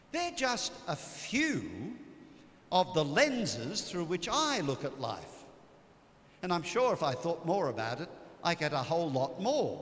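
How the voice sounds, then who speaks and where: With audible room echo, a man with a high pitch talks at a fairly slow pace, his pitch swinging very widely. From Australia. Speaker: priest. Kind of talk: retreat talk. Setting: church.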